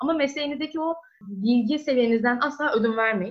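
Lively in intonation, a woman talks at a very fast pace with a high pitch. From Turkey, İzmir. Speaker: medical student. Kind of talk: interview.

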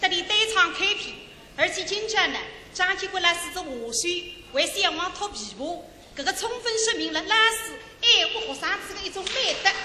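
A woman's raised, projected voice, extremely high in pitch, with a Shanghainese accent, moderate pace and ordinary pitch variation, amid noticeable background noise and audible room echo. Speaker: radio host. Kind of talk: live show banter.

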